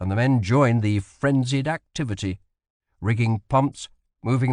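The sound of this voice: Behind the speech, the background stays quiet. It is an unforced reading voice with ordinary pitch variation.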